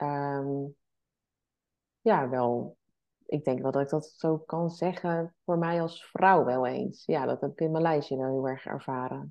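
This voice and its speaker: A woman speaks very slowly in a very deep, low voice, with ordinary pitch variation. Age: 40s. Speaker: entrepreneur and travelling mother. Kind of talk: podcast interview.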